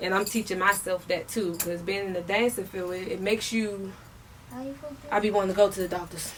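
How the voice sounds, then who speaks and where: A woman talks fairly quickly at medium pitch in an American accent. Noticeable background noise sits behind her. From Maryland, DC area (DMV). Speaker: rapper and dancer. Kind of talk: interview. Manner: casual, animated.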